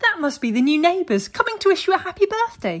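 In a squeaky, put-on character voice, a woman talks at a very fast pace and extremely high pitch with very wide pitch swings. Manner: pretend cheery, forced brightness.

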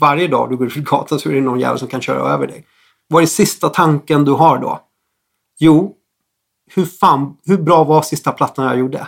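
A man with vocal fry speaks at a moderate pace, his fairly high pitch held in fairly even intonation. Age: 40s. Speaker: music producer. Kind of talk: casual chat.

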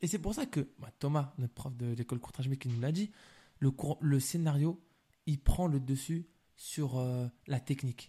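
This man has a fairly high pitch and a dark, mellow tone that is somewhat breathy. He speaks at a fairly slow pace with ordinary pitch variation and long, frequent pauses. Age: 20s. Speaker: film director. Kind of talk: casual chat.

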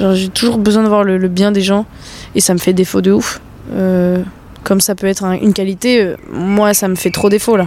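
Speaking at a moderate pace, a woman holds a medium pitch with monotone, flat intonation and very even loudness. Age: 20s. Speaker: dancer. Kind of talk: casual chat. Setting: outdoors.

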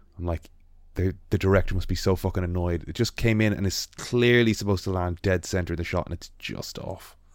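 Recorded very cleanly against a silent background, a man with an Irish accent talks at a fairly quick pace in a very deep, low voice with fairly even intonation. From Ireland. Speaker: illustrator and podcast host. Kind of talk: casual chat.

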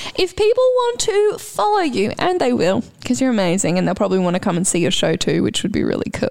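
A woman talks with very even loudness and hardly any pauses over noticeable background noise. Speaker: podcast host and clown performer. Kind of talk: casual chat. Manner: animated.

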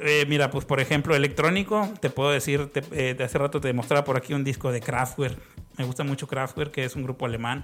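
This man has an unremarkable speaking voice, pitched fairly high. He talks at a fairly quick pace with fairly even intonation. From Mexico, Tamaulipas (Ciudad Victoria). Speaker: music collector, record enthusiast. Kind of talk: casual chat.

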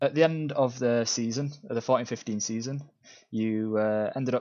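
A man's medium-pitched, normal speaking voice with ordinary pitch variation. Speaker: podcast host. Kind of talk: interview.

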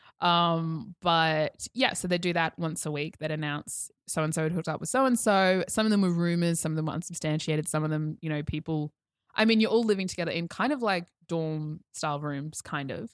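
A woman with an Australian accent speaks at a fairly quick pace in a fairly low pitch with ordinary pitch variation. The sound is dry and close, with no echo. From Queensland, Australia (Toowoomba). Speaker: podcast guest. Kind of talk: casual chat. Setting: studio.

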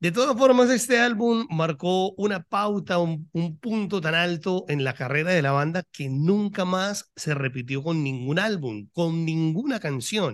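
Over a quiet background, a man talks in a high voice with lively intonation. His pace is fairly slow, with hardly any pauses. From Colombia. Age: 40s. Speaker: rock podcaster. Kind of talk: casual chat.

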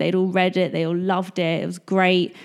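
A woman with an English accent speaks at a fairly quick pace. Her medium-pitched voice has a monotone, flat intonation. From England. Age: 30s. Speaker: blogger and YouTuber. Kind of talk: casual chat. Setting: in person at a kitchen table.

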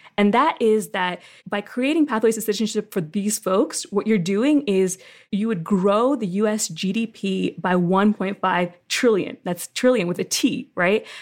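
A woman with a plain, everyday voice and an American accent speaks at medium pitch. Her pace is fairly slow, and her pitch variation is ordinary. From Philadelphia, US. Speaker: immigration legal services director. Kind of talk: interview. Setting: video call.

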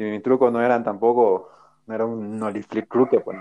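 An ordinary speaking voice from a man, medium in pitch and moderate in pace. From Bolivia. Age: 30s. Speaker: skateboarder. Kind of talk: interview.

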